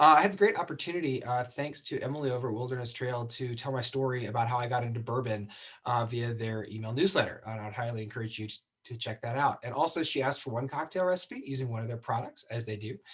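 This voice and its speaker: A man talks at a very fast pace in a medium pitch. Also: ordinary pitch variation. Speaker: cocktail show host. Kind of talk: tutorial.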